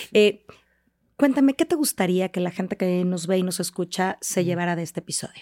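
Dry and close with no echo, a woman's dark, mellow voice moves at a fairly quick pace. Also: medium pitch for a woman, ordinary pitch variation. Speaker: podcast host. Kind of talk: interview, friendly conversation. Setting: studio.

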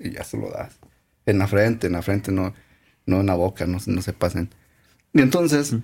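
Speaking at a moderate pace with fairly low pitch and ordinary pitch variation, a man's somewhat breathy voice has a dark, mellow tone and long, frequent pauses. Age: young. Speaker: podcast co-host. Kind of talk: casual chat.

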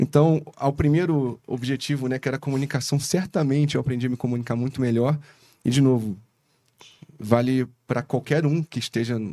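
At a moderate pace, a man speaks in a medium pitch with a dark, mellow tone and fairly even intonation. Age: 30s. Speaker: investment fund founder. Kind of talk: casual chat.

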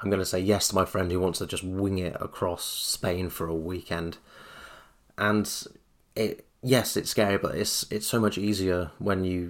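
A man with a southern English accent, a very deep, low pitch and a monotone, flat intonation at a moderate pace, on a very clean recording with a silent background. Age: 30s. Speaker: podcast host. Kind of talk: solo podcast monologue.

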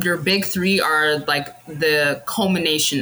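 A woman's voice over noticeable background noise. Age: 30s. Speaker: astrology enthusiast with psychology degree. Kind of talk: casual chat.

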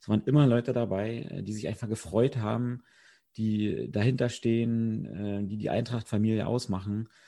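Over a quiet background, a man with a dark, mellow tone and medium pitch talks at a moderate pace, his intonation fairly even but his loudness swinging widely. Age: 30s. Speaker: amateur footballer. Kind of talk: podcast interview.

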